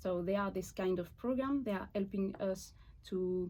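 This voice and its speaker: A woman speaks with a French accent at a moderate pace and medium pitch, with ordinary pitch variation. Her tone is dark and mellow, and somewhat breathy. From eastern France. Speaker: watchmaker and business owner. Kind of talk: interview. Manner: halting.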